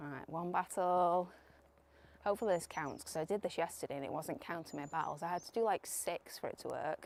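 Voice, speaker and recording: Speaking at a fairly quick pace, a woman with a British accent uses a fairly low pitch and ordinary pitch variation. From UK. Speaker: streamer. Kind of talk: live stream commentary. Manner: casual, chatty.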